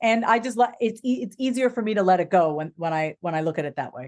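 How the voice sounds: A woman's medium-pitched, slightly mellow voice at a fast pace, fairly even in intonation, on a very clean recording with a silent background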